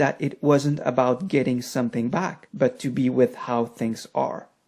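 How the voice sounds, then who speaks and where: A fairly slow pace in a French accent, on a very clean recording with a silent background. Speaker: meditation teacher and author. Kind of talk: lecture.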